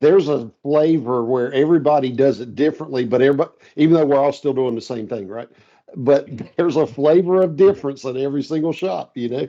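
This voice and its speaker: A man's fairly high, dark, mellow voice at a very fast pace, with ordinary pitch variation. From North Carolina. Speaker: steel software integration expert. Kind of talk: casual podcast interview. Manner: casual, relaxed.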